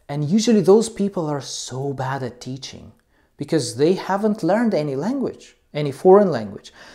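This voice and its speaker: A man with a non-native accent speaks at a moderate pace in a dark, mellow, fairly high voice. His pitch swings very widely, and the recording is very clean with a silent background. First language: not English. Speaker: English teacher. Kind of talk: educational talk. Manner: halting, many fillers.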